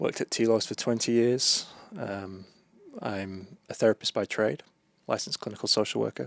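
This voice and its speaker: A man speaks with a British accent in a fairly low voice. His pitch moves in an ordinary way, and the sound is dry and close with no echo. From UK. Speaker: therapist and author. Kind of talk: podcast interview.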